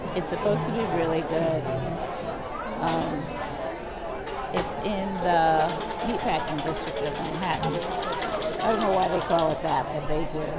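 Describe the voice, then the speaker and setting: A woman at a moderate pace, with ordinary pitch variation, long, frequent pauses, and crowd noise in the background. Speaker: food vlogger. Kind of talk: casual vlog chat.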